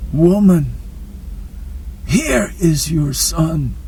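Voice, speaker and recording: Over clear background noise, someone performs in a put-on character voice. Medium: read story.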